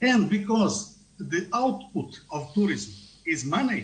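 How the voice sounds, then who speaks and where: Speaking at a very slow pace, a man has a high voice and a non-native accent. His intonation is lively, with audible room echo around him. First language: not English. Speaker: tourism researcher. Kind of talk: conference talk. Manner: halting.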